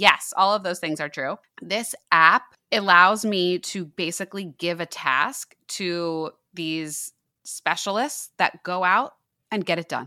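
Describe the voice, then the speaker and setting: In a very clean recording with a silent background and a dry, close sound with no echo, a woman speaks very slowly in a bright, sharp tone, fairly low in pitch with ordinary pitch variation. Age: 30s. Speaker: podcast host. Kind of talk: casual chat.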